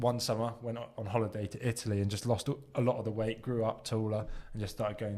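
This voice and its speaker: A man with a southern English accent, very fast pace, fairly low pitch, dark, mellow tone and monotone, flat intonation. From southern England (Southampton). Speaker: podcast co-host. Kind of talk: casual chat.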